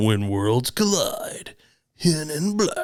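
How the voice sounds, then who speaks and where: A man uses a put-on character voice pitched high. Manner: dramatic.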